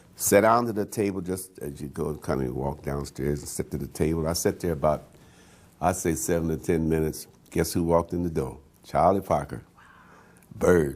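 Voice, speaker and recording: With an American accent, a man talks in a very deep, low pitch marked by vocal fry. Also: ordinary pitch variation, fairly quick pace. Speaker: jazz pianist. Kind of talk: oral history interview. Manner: halting, many fillers and repeats.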